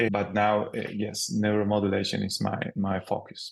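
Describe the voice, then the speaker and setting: This man talks at a moderate pace in a fairly low pitch. His voice carries vocal fry. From Spain. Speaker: pain physician. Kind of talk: interview.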